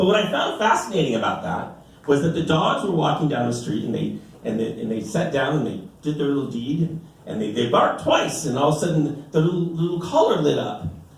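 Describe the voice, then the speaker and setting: Over noticeable background noise and audible room echo, a man talks at a fairly quick pace with a fairly high pitch and lively intonation. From US, Mexican-American family. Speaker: stand-up comedian. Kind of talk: stand-up. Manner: animated, many filler repeats.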